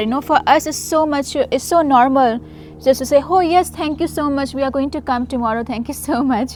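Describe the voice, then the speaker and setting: A woman with an Indian accent and a high pitch speaks at a moderate pace with ordinary pitch variation amid noticeable background noise. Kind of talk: casual Q&A talk to camera.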